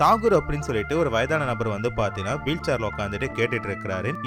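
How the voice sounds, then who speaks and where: A man talks while music plays in the background. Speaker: movie explainer, Tamil voice-over narrator. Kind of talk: movie story narration / explainer.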